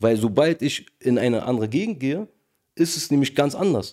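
Dark, mellow tone captured on a very clean recording, its background silent. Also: man. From Berlin, Charlottenburg. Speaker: rapper. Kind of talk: casual discussion.

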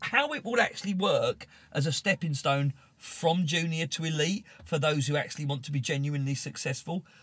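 A man speaks with a British accent at a moderate pace. His pitch varies in an ordinary way. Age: 40s. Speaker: BMX racer and team support staff. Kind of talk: casual chat. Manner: animated.

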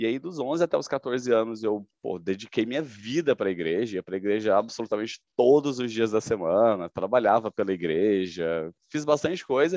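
A man with an ordinary speaking voice talks at a fairly quick pace with lively intonation, in a dry, close sound with no echo over a quiet background. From Goiânia, Brazil. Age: 30s. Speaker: sales manager. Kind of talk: testimony.

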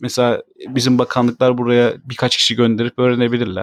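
At a fairly quick pace, a man with an ordinary speaking voice and medium pitch is heard in a dry, close sound with no echo. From Turkey. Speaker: podcast co-host, father. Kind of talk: casual chat.

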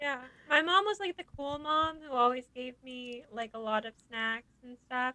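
Her voice raised and projected, a woman with a high pitch and a bright, sharp tone speaks at a fairly slow pace, with lively intonation and big swings in loudness. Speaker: podcast co-host. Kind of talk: casual chat.

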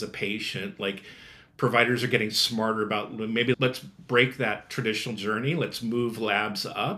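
A man talks with a tone that comes across bright and sharp. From Nebraska, US Midwest. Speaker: design and product leader. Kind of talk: interview conversation.

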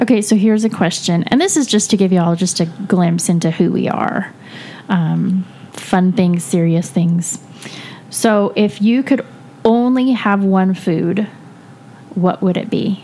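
Over noticeable background noise, a woman with an American accent speaks at a fairly slow pace, with long, frequent pauses. Her medium pitch varies in an ordinary way, and her loudness stays very even. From California. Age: 40s. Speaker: podcast host. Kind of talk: casual chat. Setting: home basement studio.

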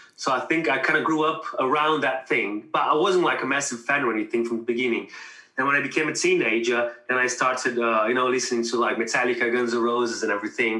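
A man at a very fast pace, with ordinary pitch variation and very even loudness, over noticeable background noise. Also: medium pitch for a man. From Brazil. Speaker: musician, guitarist. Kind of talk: casual chat.

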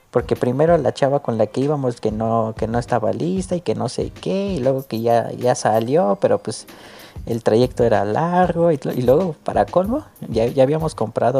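This is an unremarkable speaking voice with lively intonation at a moderate pace. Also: man. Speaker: podcast host. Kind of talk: casual chat.

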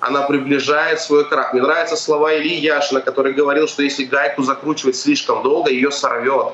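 A man talks at a moderate pace in a fairly high pitch. Noticeable background noise sits behind his voice. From Russia. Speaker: activist. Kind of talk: live interview.

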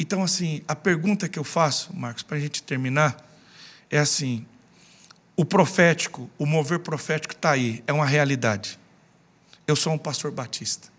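A man speaks at a moderate pace with long, frequent pauses. His voice is fairly high, with ordinary pitch variation. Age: 40s. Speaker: pastor. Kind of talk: casual chat.

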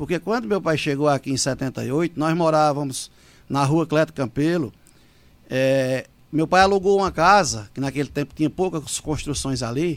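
A man's normal speaking voice, fairly high in pitch, at a moderate pace with ordinary pitch variation. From Pernambuco sertão, Brazil. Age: 40s. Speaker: city councillor. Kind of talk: radio interview. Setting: studio.

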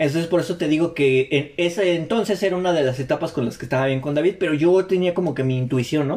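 Very fast speech in a Mexican accent, with ordinary pitch variation and hardly any pauses. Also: man, fairly high pitch for a man. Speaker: podcast host. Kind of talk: casual chat.

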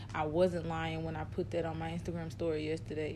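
A woman speaks very fast, with audible room echo around her voice. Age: 30s. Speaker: podcast co-host. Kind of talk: casual chat.

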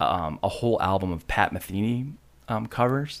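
A fairly slow delivery in an American accent. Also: man. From Michigan, Grand Rapids area. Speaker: recording studio owner and engineer. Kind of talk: casual interview. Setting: studio.

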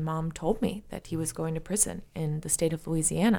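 A woman's fairly low voice with ordinary pitch variation at a fairly quick pace, on a very clean recording with a silent background. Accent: American. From San Francisco, California. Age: 30s. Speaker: cannabis product company founder. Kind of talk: interview.

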